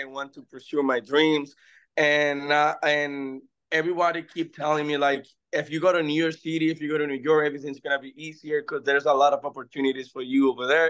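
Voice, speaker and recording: A man with a Spanish accent talks at a fairly quick pace in a fairly high pitch, keeping his intonation fairly even. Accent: Spanish accent, noticeable. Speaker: actor and music artist. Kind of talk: interview. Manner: halting.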